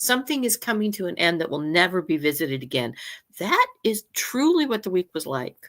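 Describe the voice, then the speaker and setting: Her medium-pitched voice moves at a fairly quick pace through very wide pitch swings. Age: 60s. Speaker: astrology and energy co-host. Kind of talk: casual chat. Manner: halting, many restarts.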